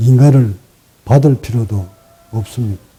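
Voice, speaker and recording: A man speaks at a very slow pace in a medium pitch. His pitch variation is ordinary. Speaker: meditation teacher. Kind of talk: dharma talk. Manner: sometimes sharp, sometimes gentle.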